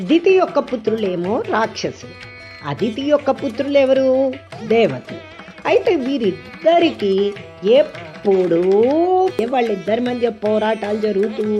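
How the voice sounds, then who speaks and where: Over music in the background, a woman speaks with very wide pitch swings. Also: fairly high pitch for a woman. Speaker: devotional explainer. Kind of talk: devotional explanation of a hymn. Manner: conversational, addressing the audience.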